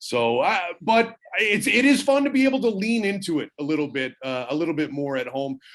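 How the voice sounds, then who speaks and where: Talking at a fairly quick pace, a man with a slight Newfoundland accent uses a high pitch and very wide pitch swings. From Canada, Newfoundland (St. John's). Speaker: hockey play-by-play broadcaster. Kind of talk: casual chat.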